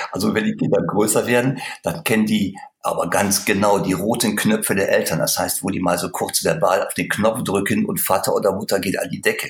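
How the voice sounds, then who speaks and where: Fairly quick male speech with noticeable noise behind it. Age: 50s. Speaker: sales trainer. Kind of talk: interview.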